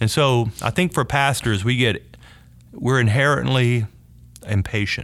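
Fairly slow speech in a Southern US accent, very even in loudness, with ordinary pitch variation and long, frequent pauses. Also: man, medium pitch for a man. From US South, North Louisiana. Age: 50s. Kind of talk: interview conversation.

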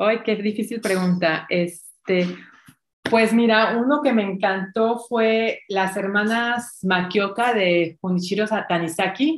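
A woman talks at a fairly slow pace with ordinary pitch variation in an unremarkable speaking voice. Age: 50s. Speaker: dancer and fitness instructor. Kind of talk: interview conversation.

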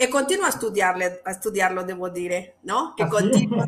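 A woman speaks with a Spanish accent and lively intonation. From Mexico. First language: Spanish (speaking Italian). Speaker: Italian teacher and linguistics doctoral student. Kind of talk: interview. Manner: halting.

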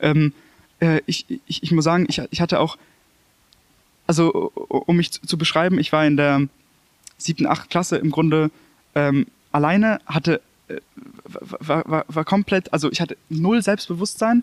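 A man speaks at a high pitch and a moderate pace. His pitch varies in an ordinary way, broken by long, frequent pauses. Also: dry, close sound with no echo. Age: 20s. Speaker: former bullying victim. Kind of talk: testimony. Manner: halting.

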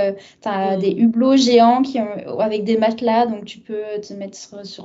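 Fairly slow speech from a woman at a fairly high pitch. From southern France (Arles). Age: 30s. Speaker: translator, expat guest. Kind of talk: casual interview.

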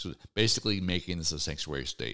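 A man speaks at a moderate pace in a very deep, low voice with vocal fry and a bright, sharp tone, on a very clean recording with a silent background. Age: 50s. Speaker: radio talk show host. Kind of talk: opinion talk show monologue. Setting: radio studio. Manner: halting.

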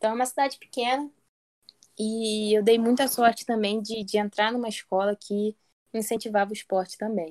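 At a moderate pace, a woman speaks in a plain, everyday voice, fairly high in pitch, with fairly even intonation. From Brazil, Maricá, Rio de Janeiro state. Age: 20s. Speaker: athlete, lifesaving swimmer and navy sergeant. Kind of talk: interview.

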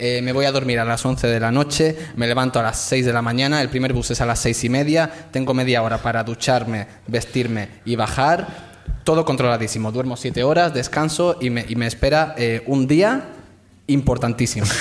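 At a moderate pace, a man speaks in a medium pitch with ordinary pitch variation over noticeable background noise. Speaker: comedian. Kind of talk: storytelling on stage. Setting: stage with audience.

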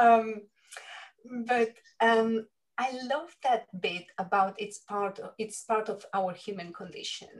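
A woman with a Spanish accent speaks at a very slow pace in a fairly high voice, leaving long, frequent pauses while her loudness swings widely. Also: ordinary pitch variation. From Spain. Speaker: leadership coach. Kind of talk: interview conversation.

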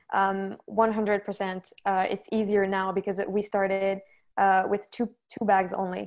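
The recording is very clean, with a silent background. A woman talks at a moderate pace and medium pitch, her intonation monotone and flat. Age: 20s. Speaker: university student and fashion brand founder. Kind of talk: casual interview.

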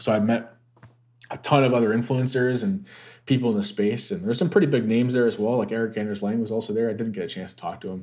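Here a man talks fairly quickly at a medium pitch. He has a plain, everyday voice. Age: 30s. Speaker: golf content creator. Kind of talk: casual chat.

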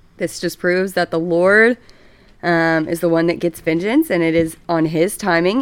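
With a Texan accent, a woman speaks at a fairly low pitch with ordinary pitch variation. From Texas, Dallas. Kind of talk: casual chat. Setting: home, on a couch.

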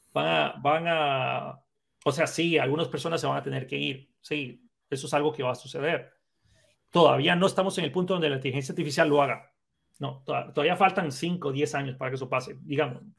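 With vocal fry and fairly even intonation, a man with a fairly high pitch talks at a fairly quick pace. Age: 30s. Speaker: programming instructor and content creator. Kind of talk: casual chat.

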